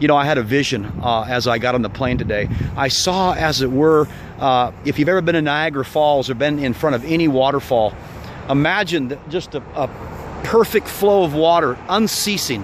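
At a moderate pace, a man talks over light background noise, and the sound is dry with no echo. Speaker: preacher. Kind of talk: prayer and exhortation to viewers. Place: open country. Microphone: phone near.

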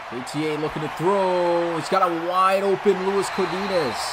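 Noticeable background noise sits behind a man whose tone is animated. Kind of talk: sports commentary. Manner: animated, breaking into laughter at big plays.

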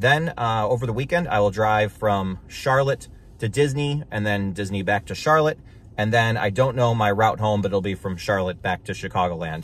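A man speaks in an unremarkable speaking voice, fairly low in pitch, at a moderate pace. His intonation is lively, and the sound is dry with no echo. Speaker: car vlogger. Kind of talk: casual vlog chat. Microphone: phone near.

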